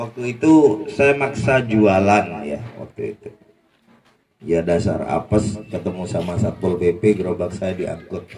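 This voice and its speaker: The man's pitch is fairly low, with ordinary variation. He speaks at a fairly slow pace with big swings in loudness. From Madura, Indonesia. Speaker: former street food vendor sharing testimony. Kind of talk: testimony. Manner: casual, conversational.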